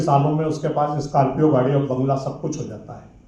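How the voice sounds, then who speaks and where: A man at a moderate pace amid noticeable background noise and audible room echo. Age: 60s. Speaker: veteran print journalist. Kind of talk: speech at a conference.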